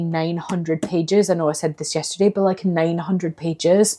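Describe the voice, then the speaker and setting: A woman's fairly low, dark and mellow voice with fairly even intonation. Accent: Scottish. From Scotland. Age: 30s. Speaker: book vlogger. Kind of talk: casual talk to camera. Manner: chatty, expressive.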